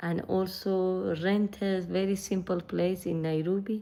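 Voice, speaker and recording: A woman speaks with a Persian accent. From northern Iran. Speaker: vlogger. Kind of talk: casual chat. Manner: halting.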